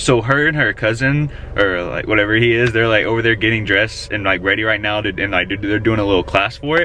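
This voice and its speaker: Amid light background noise, a man speaks at a very fast pace and a fairly low pitch with ordinary pitch variation. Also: dry sound with no echo. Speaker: vlogger. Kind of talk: casual vlog chat. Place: car. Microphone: phone near.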